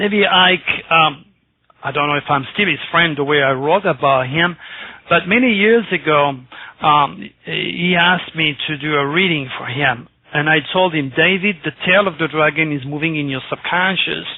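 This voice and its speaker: A man in a plain, everyday voice pitches fairly high and holds a moderate speed. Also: ordinary pitch variation. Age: 60s. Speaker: astrologer. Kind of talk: radio interview. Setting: radio show.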